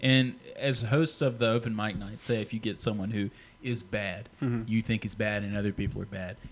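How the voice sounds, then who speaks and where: Fairly quick in pace, a man uses a normal speaking voice at a medium pitch, keeping his intonation fairly even. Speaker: podcast interviewer. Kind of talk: casual interview chat.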